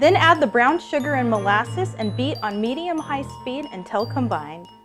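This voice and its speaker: A woman talks at a moderate speed as music plays in the background. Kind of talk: cooking tutorial instructions.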